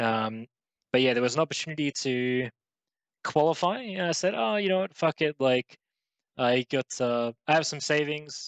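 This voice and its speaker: This man has an Australian accent and a fairly high pitch, talking at a moderate pace with ordinary pitch variation, a dry, close sound with no echo and a quiet background. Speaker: esports pro player. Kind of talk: interview. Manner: casual, halting with fillers.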